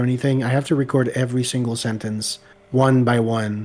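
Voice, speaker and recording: The speech moves at a moderate pace with monotone, flat intonation. Noticeable background noise runs behind it. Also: man. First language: French. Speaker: video creator. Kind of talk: casual chat.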